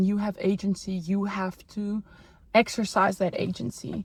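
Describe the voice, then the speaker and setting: A woman's medium-pitched, somewhat breathy voice at a fairly slow pace. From South Africa. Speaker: art historian and podcast host. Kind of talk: casual chat. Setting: in a car.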